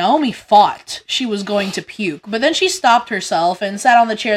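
The voice is reading aloud in a natural voice.

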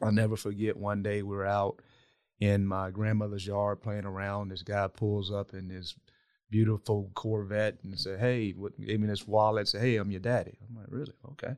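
The recording is very clean, with a silent background. A man with a fairly low pitch speaks at a moderate pace in a flat monotone, with big swings in loudness. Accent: Southern US. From US South, south Georgia. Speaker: non-profit executive. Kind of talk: interview conversation. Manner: halting, frequent repetitions.

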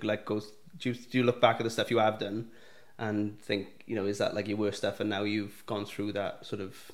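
A man is speaking. He has a plain, everyday voice. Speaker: podcast host. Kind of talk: casual interview chat.

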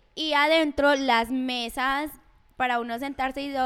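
A high-pitched woman at a very slow pace, in a very clean recording with a silent background. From Colombia. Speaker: podcast co-host. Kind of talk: casual chat.

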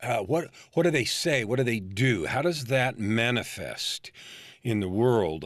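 A man with an American accent and an unremarkable speaking voice, medium in pitch, at a moderate pace. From California, San Francisco Bay Area. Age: 50s. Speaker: life coach. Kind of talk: interview.

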